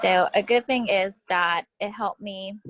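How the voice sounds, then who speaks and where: Speaking at a fairly slow pace, a woman uses a medium pitch with ordinary pitch variation, recorded with a dry, close sound and no echo. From Houston, Texas. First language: Spanish. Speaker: interviewee. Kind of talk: interview.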